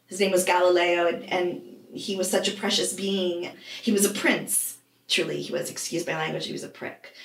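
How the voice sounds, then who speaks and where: With audible room echo, a woman at a medium pitch speaks at a moderate pace with fairly even intonation. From US Northeast (Vermont). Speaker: life coach. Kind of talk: interview.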